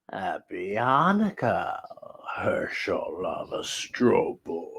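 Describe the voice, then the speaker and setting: A man's put-on character voice at a very slow pace. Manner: menacing.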